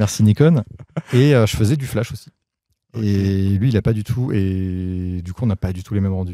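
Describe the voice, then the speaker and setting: The man's voice is fairly low, with a dark, mellow tone and ordinary pitch variation. The sound is dry with no echo. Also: moderate pace, quiet background. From Paris region, France; France. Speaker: photographer; guest. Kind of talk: casual interview. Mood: relaxed, animated. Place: garden. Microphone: handheld.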